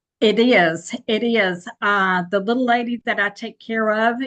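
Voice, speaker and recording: A woman's normal speaking voice, medium in pitch, with fairly even intonation and a fairly slow pace. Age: 60s. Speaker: caregiver and online entrepreneur. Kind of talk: interview.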